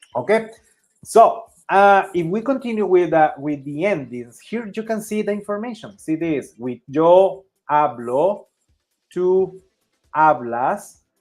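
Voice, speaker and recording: A Spanish accent with very wide pitch swings, big swings in loudness, a fairly slow pace and long, frequent pauses. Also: man. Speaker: Spanish teacher. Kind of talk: language lesson. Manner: halting.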